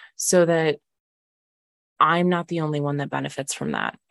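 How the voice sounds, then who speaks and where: A woman's voice with monotone, flat intonation. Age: 20s. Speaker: mindset and healing coach, podcast host. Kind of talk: casual monologue.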